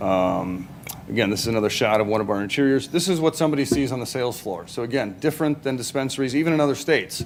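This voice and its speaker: Over noticeable background noise and audible room echo, a man speaks at a very fast pace with lively intonation. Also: medium pitch for a man. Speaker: business presenter. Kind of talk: public presentation. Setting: city council meeting. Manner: halting, many fillers.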